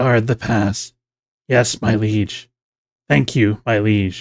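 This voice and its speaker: A man puts on a raspy character voice with a fairly low pitch. He delivers it at a very slow pace. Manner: obsequious, submissive.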